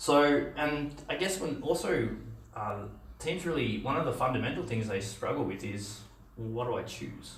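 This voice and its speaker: A man speaks with an Australian accent, his pitch swinging very widely. The room echo is audible. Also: moderate pace. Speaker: software engineer and conference speaker; presenter. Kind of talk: conference talk; presentation talk. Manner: halting, many fillers. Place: meeting room.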